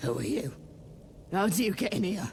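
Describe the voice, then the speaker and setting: A raspy, put-on character voice at a moderate pace, with very wide pitch swings and clear background noise. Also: man. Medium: video game. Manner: firm.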